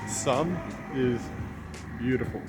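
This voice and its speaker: Over music in the background, a man with an Australian accent speaks with ordinary pitch variation. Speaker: vlogger. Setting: outdoors.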